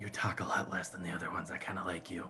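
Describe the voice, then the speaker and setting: A man speaks very fast in a raspy, put-on character voice. Background noise is clearly audible. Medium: actual play. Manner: curt, defensive.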